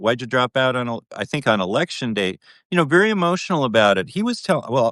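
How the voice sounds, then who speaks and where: A man's medium-pitched voice at a very fast pace, with very wide pitch swings. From US Midwest, Minnesota. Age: 60s. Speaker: journalist. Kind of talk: casual chat. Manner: halting.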